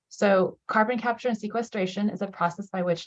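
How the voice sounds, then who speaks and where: A woman speaks in a somewhat breathy voice. Her intonation is fairly even. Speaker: state government official. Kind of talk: public presentation. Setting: video call. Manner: fast.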